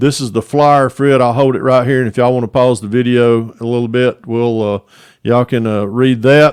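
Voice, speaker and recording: A man speaks at a fairly quick pace in a medium pitch, with a Southern US accent. His intonation is monotone and flat, and the sound is dry and close with no echo. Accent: Southern US (Georgia). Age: 60s. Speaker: model car hobbyist YouTuber. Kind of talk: casual interview chat. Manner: casual, halting with many fillers.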